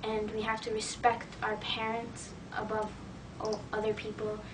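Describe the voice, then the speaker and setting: Over noticeable background noise, a woman in an American accent talks at a fairly slow pace with fairly high pitch. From USA. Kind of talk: interview testimony. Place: classroom. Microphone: camera far.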